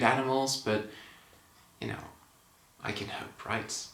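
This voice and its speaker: A man speaks with noticeable background noise. Audible room echo surrounds his voice. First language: Dutch. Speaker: movie reviewer. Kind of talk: casual vlog review. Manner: casual, conversational.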